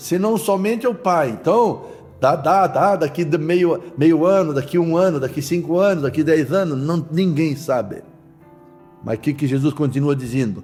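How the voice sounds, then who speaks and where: Amid noticeable background noise and audible room echo, a high-pitched man talks at a fairly slow pace with lively intonation. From Santa Catarina, southern Brazil. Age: 70s. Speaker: pastor. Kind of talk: sermon.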